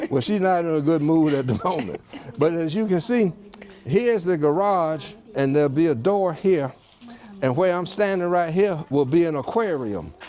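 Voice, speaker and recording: With an American accent and lively intonation, the speaker keeps a moderate pace against noticeable background noise. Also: man, fairly high pitch for a man. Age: 70s. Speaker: retired surgeon. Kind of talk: casual home tour chat.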